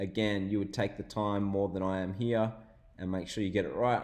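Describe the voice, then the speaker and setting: With an Australian accent, a man speaks at a moderate pace in a fairly low pitch. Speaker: online business tutorial youtuber. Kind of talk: screen-share tutorial.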